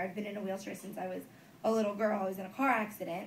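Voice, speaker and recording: A woman speaks very fast with an American accent. Room echo and background noise are both noticeable. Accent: New Jersey, comes and goes. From New Jersey. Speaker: comedian. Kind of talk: stand-up. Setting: stage with audience. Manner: casual, many fillers.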